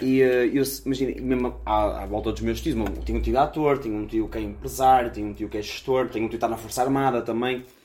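Talking very fast, a man barely pauses at all. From Braga, northern Portugal. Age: 20s. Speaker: podcast co-host. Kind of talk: casual chat. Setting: recording on the road in Chaves.

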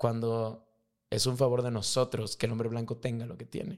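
Speaking at medium pitch and a moderate pace, a man has an animated tone. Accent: Mexican. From Mexico. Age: 30s. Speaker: high school teacher and rugby referee. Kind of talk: casual chat.

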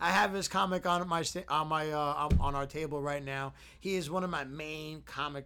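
Bright and sharp in tone, a man's fairly high voice moves at a moderate pace with fairly even intonation. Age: 30s. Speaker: podcast co-host. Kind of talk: casual chat.

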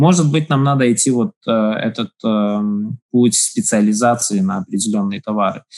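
Here is a man with an unremarkable speaking voice, at medium pitch and moderate pace. The sound is dry and close, with no echo. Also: ordinary pitch variation. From Latvia, Daugavpils. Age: 40s. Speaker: business incubator head. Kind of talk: interview. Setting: remote call.

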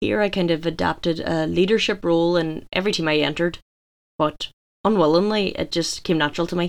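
A woman speaks at a very fast pace in a Donegal accent. Her fairly low voice keeps a fairly even intonation. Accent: Donegal Irish. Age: 20s. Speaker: gym owner and fitness coach. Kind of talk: scripted monologue.

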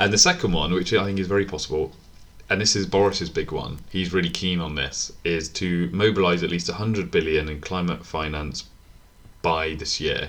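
A man speaks at a moderate pace with fairly even intonation. His pitch is very deep and low. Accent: British. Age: 20s. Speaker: podcast co-host. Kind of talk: casual chat.

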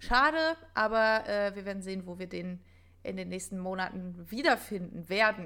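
A woman's bright, sharp voice at medium pitch, with big swings in loudness, lively intonation, and a very clean recording over a silent background. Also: moderate pace. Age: 20s. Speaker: podcast co-host, actress. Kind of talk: casual chat.

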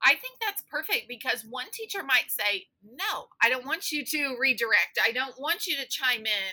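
A woman's raised, projected voice, high and bright with a sharp tone, very wide pitch swings, moderate pace and hardly any pauses. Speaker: podcast host and special education teacher. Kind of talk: interview, casual chat.

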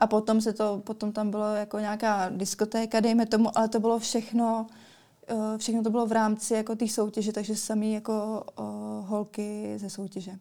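At a moderate pace, a woman speaks in a dark, mellow tone with fairly high pitch and flat, monotone intonation. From Czech Republic, Central Bohemia. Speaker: beauty queen and model. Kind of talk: interview. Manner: hesitant, many fillers.

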